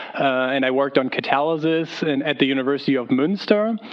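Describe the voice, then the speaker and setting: Noticeable background noise fills the recording. The speaker talks with a German accent. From Germany. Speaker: pharmaceutical chemist. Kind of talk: career panel talk. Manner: hesitant, many fillers.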